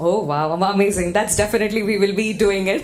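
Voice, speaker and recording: Over noticeable background noise and audible room echo, a woman talks at a medium pitch and a fairly quick pace in an energetic, animated tone. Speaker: event emcee. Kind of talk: live event hosting, crowd engagement. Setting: conference hall with audience, PA. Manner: loud.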